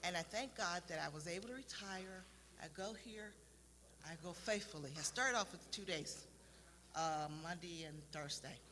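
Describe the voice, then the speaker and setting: Audible room echo surrounds a woman whose fairly low voice has a bright, sharp tone. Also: ordinary pitch variation, moderate pace. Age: 60s. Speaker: retiree, church fitness class member. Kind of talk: testimony. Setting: live stream from church warehouse.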